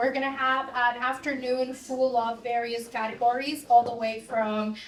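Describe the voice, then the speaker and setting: Speaking at a fairly slow pace with a Latin American accent, a woman uses a high pitch amid noticeable background noise and audible room echo. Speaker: conference moderator. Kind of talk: event moderation, introducing speaker. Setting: stage with audience.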